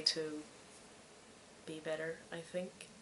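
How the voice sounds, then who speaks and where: At a very slow pace, a woman speaks with a Swedish accent over noticeable background noise. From Sweden. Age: 20s. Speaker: podcast host, knitter and student. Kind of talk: casual podcast monologue. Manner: halting.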